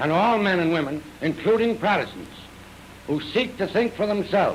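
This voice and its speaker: A man with a high pitch speaks in an American accent, with ordinary pitch variation and very even loudness. Noticeable background noise is present. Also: moderate pace. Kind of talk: 1938 newsreel statement to camera.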